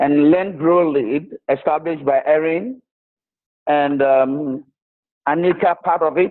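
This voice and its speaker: A man with a strong Ghanaian accent speaks at a fairly slow pace in a fairly high pitch, his loudness very even and his pitch variation ordinary, with long, frequent pauses. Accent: Ghanaian, strong enough to need explaining. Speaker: charity founder. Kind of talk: interview. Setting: video call.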